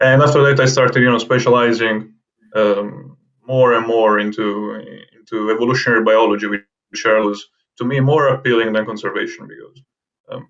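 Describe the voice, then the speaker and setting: With an Italian accent, a man talks in fairly even intonation. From southern Italy, Naples. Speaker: herpetologist. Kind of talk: interview. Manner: halting, with many repetitions and fillers.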